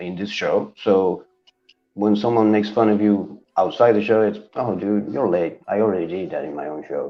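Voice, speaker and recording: A man speaks with a Spanish accent at a fairly low pitch. His pace is fairly slow. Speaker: comic book YouTuber, co-host. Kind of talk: casual chat.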